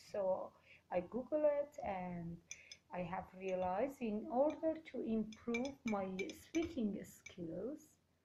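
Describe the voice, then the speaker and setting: Speaking very slowly with a Kurdish accent, a woman's somewhat breathy voice has a dark, mellow tone, fairly high pitch, and very wide pitch swings. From Iran, Kurdish. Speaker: Toastmasters club member. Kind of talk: interview. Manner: halting.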